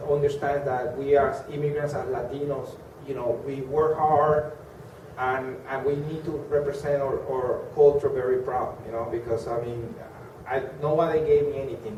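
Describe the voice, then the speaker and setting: Through noticeable background noise comes a man with a Colombian accent and a fairly high pitch. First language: Spanish. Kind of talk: interview answer.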